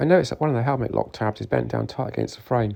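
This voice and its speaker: Vocal fry marks this man's voice. He speaks at a very fast pace. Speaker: motorcycle builder. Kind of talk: workshop video narration.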